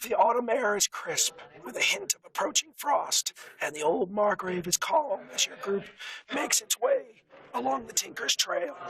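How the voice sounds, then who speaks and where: A put-on character voice, hoarse and raspy, moves along at a moderate pace. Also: man, high pitch for a man. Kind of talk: fantasy tabletop narration. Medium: actual play. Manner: measured, descriptive.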